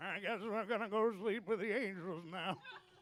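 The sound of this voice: A put-on character voice at a fairly high pitch moves along at a moderate pace.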